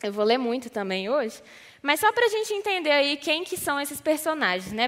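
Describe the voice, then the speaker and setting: A woman with a high voice speaks at a fairly quick pace, her voice raised and projected. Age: 20s. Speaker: youth ministry leader. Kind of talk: sermon.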